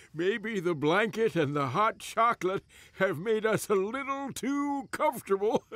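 In a cartoonish character voice, a man speaks at a moderate pace. His pitch is high. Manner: patient, explanatory, drowsy.

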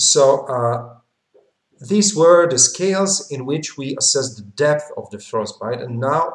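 Against a quiet background with audible room echo, a man speaks somewhat breathily with ordinary pitch variation. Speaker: medical lecturer. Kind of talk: lecture. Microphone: webcam.

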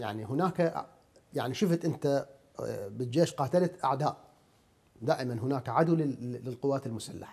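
Very wide pitch swings in a man's somewhat breathy voice. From Iraq. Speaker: TV interviewer. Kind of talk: interview. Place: home room.

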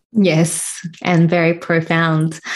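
A woman sounds enthusiastic with a fairly low pitch. The background is quiet. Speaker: podcast host. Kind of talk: casual interview. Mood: warm, attentive. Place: home room.

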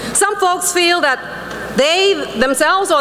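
Over light background noise, a woman speaks very slowly in a passionate tone with lively intonation. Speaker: politician, Florida lieutenant governor. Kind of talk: fiery religious speech to an audience. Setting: conference hall speech to a live audience. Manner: passionate, preaching. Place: hall. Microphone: podium.

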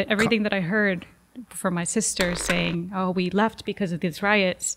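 A woman speaks at a moderate pace in a flat monotone, with noticeable background noise. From Jalisco, Mexico. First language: Spanish. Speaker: journalist. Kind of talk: interview. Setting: studio. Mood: reflective storytelling.

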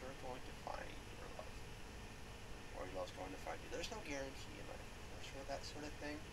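A woman talks at a moderate pace while noticeable background noise plays behind her. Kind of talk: casual talk to camera. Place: home room. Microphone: webcam.

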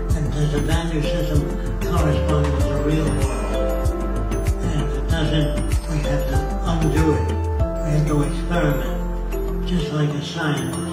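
Loud music plays behind a man in a room with audible echo. He speaks fairly slowly, leaving long, frequent pauses. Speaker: inventor and social engineer. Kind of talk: interview answer. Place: home room.

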